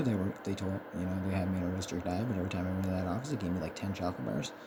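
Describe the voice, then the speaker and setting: A man speaks at a very fast pace in a very deep, low voice. Room echo is audible. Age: 30s. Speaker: content creator with ADHD. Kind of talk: casual video monologue. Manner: halting, many filler words.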